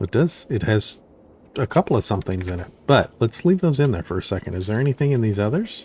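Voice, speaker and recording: A man's somewhat breathy voice at a very fast pace, with very wide pitch swings. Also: medium pitch for a man, dry, close sound with no echo. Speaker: gaming youtuber. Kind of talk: gameplay commentary. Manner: casual, thinking aloud.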